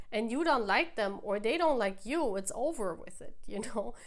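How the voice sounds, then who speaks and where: The speaker has a non-native accent and a fairly slow pace. Pitch varies in an ordinary way. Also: woman. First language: not English. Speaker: tarot reader. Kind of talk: tarot reading to camera. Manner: animated; halting.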